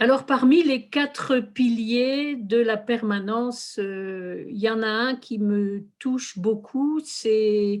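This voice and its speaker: A woman at a fairly high pitch and very slow pace, ordinary pitch variation, hardly any pauses, on a very clean recording with a silent background. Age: 60s. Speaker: lay religious community worker. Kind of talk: testimony. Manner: hesitant, with fillers.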